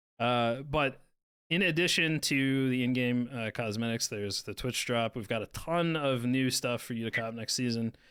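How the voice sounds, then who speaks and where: At a moderate pace, a man of medium pitch speaks in a normal speaking voice. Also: ordinary pitch variation, very clean recording, silent background. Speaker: game developer community manager. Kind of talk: livestream announcements.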